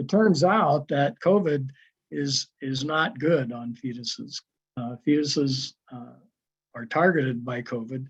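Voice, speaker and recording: At a fairly slow pace, a man talks with a fairly high pitch, a somewhat breathy voice and big swings in loudness. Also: ordinary pitch variation. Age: 70s. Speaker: health educator. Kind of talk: webinar presentation. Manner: hesitant with fillers.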